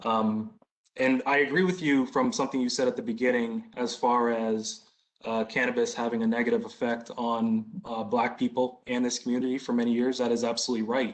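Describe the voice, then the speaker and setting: A man with an ordinary speaking voice talks at a fairly quick pace and medium pitch. His loudness stays very even and his intonation fairly even. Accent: American. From Boston. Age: 30s. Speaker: business applicant. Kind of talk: community Q&A.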